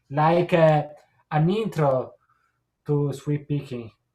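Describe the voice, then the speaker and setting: Speaking in an Italian accent, a man has a fairly high pitch and a dark, mellow tone. He is somewhat breathy and goes at a very slow pace. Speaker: guitarist and guitar teacher. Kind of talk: casual chat. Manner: halting.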